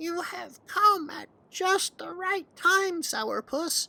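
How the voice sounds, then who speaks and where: A put-on character voice rings out squeaky and at an extremely high pitch. The pace is very slow. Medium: read story. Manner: gentle, kindly.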